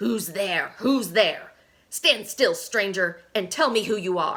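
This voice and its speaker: A woman puts on a growling character voice at medium pitch. She delivers it at a fairly slow pace. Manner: menacing, demanding.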